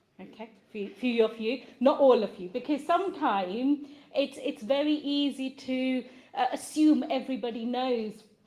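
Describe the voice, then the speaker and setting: A woman's high voice at a fairly slow pace, with lively intonation and big swings in loudness. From India. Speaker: event organizer and speaker. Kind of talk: motivational talk. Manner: hesitant, many fillers.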